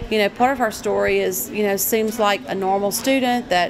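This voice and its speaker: Noticeable background noise sits behind a woman's voice. She talks at a fairly slow pace with ordinary pitch variation. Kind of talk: interview answer. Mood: calm, earnest. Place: hall.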